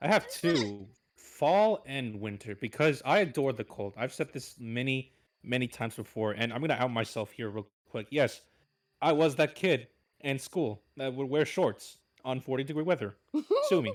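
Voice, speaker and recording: In a very clean recording with a silent background, a man at medium pitch speaks at a moderate pace with lively intonation. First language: Spanish. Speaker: voice actor. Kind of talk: casual chat.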